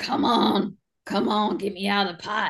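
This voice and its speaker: In a put-on character voice, the speaker sounds raspy at a fairly high pitch and a fairly slow pace. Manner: whiny, put-on character voice.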